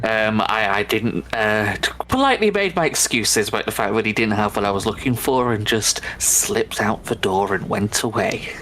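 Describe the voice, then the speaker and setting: A man with a Manchester accent speaks at a moderate pace in a fairly low voice, with ordinary pitch variation and hardly any pauses. His loudness stays very even, while noticeable background noise runs underneath. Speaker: gaming video creator. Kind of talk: casual chat.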